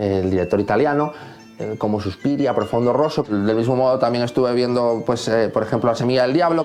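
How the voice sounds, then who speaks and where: A man speaks while music plays in the background. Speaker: composer. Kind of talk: interview answer.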